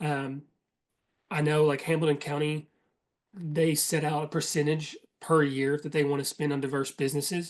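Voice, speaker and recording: In a Southern US accent, a man speaks with a fairly high pitch and monotone, flat intonation, leaving long, frequent pauses. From Eastern Kentucky. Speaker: certification manager leading a workshop. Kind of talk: presentation. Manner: fast; casual with frequent fillers.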